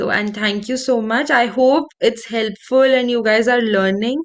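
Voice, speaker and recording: Fairly even intonation from a woman speaking at a moderate pace. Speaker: counselling trainer. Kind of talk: online class. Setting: video call. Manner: calm, not shouting.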